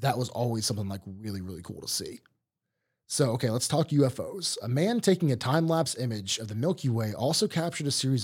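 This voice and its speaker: A somewhat breathy man with an American accent and a medium pitch talks very fast with lively intonation in a very clean recording with a silent background. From Ohio. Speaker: podcast host. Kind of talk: casual chat.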